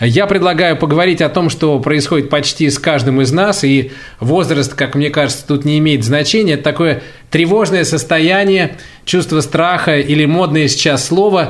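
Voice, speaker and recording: Amid audible room echo, a man with a fairly high pitch talks at a moderate pace with ordinary pitch variation. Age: 40s. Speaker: radio host. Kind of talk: casual chat. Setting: recording at home during self-isolation. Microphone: poor sound quality.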